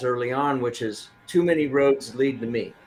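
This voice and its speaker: With music in the background, a man with an American accent talks at a moderate pace, his fairly high pitch showing ordinary variation. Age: 60s. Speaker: business coach. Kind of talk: interview. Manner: halting.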